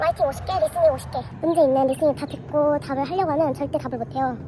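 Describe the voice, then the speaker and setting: A woman's very fast speech amid noticeable background noise. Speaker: vlogger. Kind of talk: casual vlog talk.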